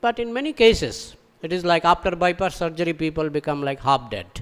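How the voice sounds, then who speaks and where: A man with a Bengali accent talks at a moderate pace, his high voice carrying lively intonation. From Bengal, India. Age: 60s. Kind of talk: scripture lecture. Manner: repetitive, rhetorical questions.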